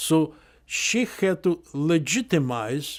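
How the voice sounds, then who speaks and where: A man talking at a very slow pace. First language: Polish. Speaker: Holocaust survivor. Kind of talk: oral history testimony. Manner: halting, with frequent fillers.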